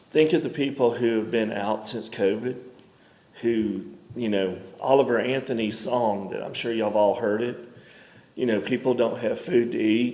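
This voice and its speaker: In a Mississippi accent, a man of medium pitch speaks at a moderate pace with fairly even intonation, and audible room echo surrounds him. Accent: US Southern (Mississippi). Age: 50s. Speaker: member of the public speaking at a county meeting. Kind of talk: public comment at a government meeting.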